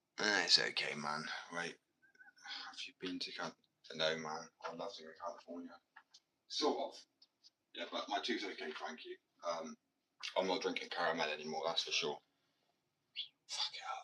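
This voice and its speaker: A man speaks in a British accent at a moderate pace. He takes long, frequent pauses. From Britain. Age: 20s. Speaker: live streamer and painter. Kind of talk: casual live stream chat. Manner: casual.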